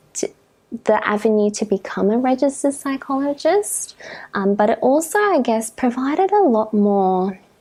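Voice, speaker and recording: Speaking with an Australian accent, a woman uses a high pitch, very wide pitch swings, a dark, mellow tone and a moderate pace. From Karratha, Western Australia. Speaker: registered psychologist. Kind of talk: interview answer.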